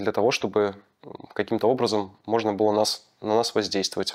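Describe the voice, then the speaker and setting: Against a quiet background, the speaker keeps a moderate pace and a monotone, flat intonation. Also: man. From Belarus. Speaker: former political prisoner; interviewee. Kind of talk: testimony. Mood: calm, serious. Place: empty room. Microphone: lapel.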